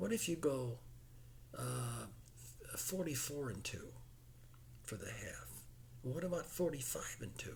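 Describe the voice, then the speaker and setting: Over audible room echo, a man with an American accent speaks fairly slowly, with long, frequent pauses. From US Midwest (Chicago suburbs, Illinois). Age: 70s. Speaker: horse racing enthusiast explaining betting. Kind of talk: casual explanatory monologue. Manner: halting, repeats words.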